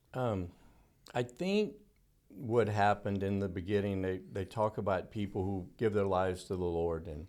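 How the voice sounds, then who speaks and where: A man's fairly even intonation comes through a very clean recording against a silent background. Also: fairly low pitch for a man, moderate pace. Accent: Louisiana. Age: 60s. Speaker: dental technician. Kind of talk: interview.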